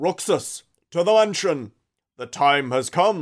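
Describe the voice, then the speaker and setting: A man speaks in a put-on character voice with a high pitch at a fairly slow pace. The recording is very clean, with a silent background. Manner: commanding.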